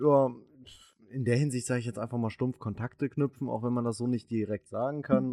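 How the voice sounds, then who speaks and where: The sound is dry and close, with no echo. A man with a dark, mellow tone speaks at a moderate pace. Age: 20s. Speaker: podcast co-host. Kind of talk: casual chat.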